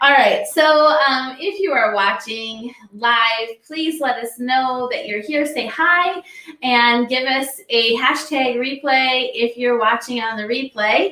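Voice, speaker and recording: Over noticeable background noise, a raised, projected voice moves at a very slow pace with ordinary pitch variation. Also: woman, high pitch for a woman. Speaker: livestream co-host. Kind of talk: casual chat. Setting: live stream. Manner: loud.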